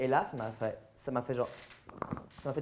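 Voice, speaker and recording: Noticeable background noise is present. A man speaks fairly quickly. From French-speaking Switzerland, near Lausanne. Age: 20s. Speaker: transgender activist and influencer. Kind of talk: public interview with audience Q&A.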